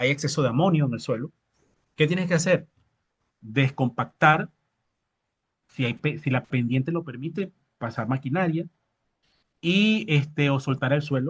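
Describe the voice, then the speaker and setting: Long, frequent pauses break up this man's speech. His voice is fairly high and somewhat breathy, with ordinary pitch variation. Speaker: agronomy instructor. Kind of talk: lecture with live Q&A. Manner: fast.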